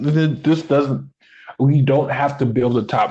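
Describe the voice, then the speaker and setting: Over a quiet background, a man speaks at a moderate pace in a somewhat breathy voice. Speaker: wrestling podcast co-host. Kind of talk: casual chat. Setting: recorded live, unedited. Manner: halting, stumbling over words.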